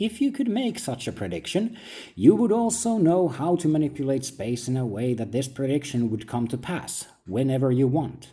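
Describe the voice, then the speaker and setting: A man with a fairly high pitch and a dark, mellow tone speaks at a moderate pace. His voice is somewhat breathy with very wide pitch swings, on a very clean recording with a silent background. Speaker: philosophical essayist. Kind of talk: reflective monologue, like reading own book.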